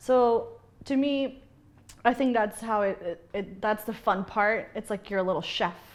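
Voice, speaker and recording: A woman speaks at fairly high pitch. Her pace is fairly slow and her pitch variation is ordinary. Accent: Spanish. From Bolivia, then Kansas City from age eleven. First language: Spanish. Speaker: bartender. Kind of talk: interview.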